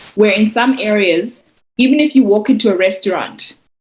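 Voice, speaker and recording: Somewhat breathy, a woman talks at a fairly high pitch and a moderate pace with fairly even intonation. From South Africa. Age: 30s. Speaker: poet. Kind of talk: interview. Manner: halting, frequent repetitions.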